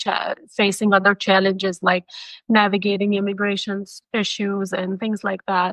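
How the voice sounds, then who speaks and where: With a non-native accent, a woman talks at a moderate pace and medium pitch, the sound dry and close with no echo. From Pakistan. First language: not English. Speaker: MFT educator. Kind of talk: podcast interview.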